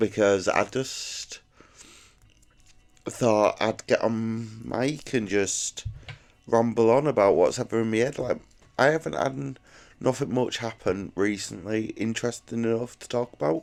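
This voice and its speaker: Speaking with an English accent, a man takes a fairly slow pace with long, frequent pauses. His pitch variation is ordinary. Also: medium pitch for a man. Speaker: YouTuber. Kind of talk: casual monologue. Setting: at home alone. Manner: rambling, halting.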